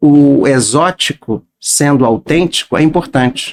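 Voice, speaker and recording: The sound is dry and close, with no echo. A man talks at a very slow pace in a fairly high pitch with ordinary pitch variation. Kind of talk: casual podcast interview. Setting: studio.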